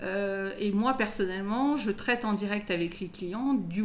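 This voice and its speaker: Medium-pitched woman's voice over noticeable background noise. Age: 40s. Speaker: lawyer. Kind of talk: casual interview.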